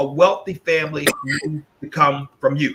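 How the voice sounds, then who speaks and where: A man is speaking. His intonation is lively. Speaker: gold business presenter. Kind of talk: sales pitch. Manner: halting, repetitive; direct.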